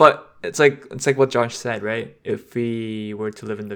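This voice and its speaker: In a very clean recording with a silent background, a man with an unremarkable speaking voice talks fairly slowly at a fairly low pitch. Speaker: podcast host. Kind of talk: casual chat.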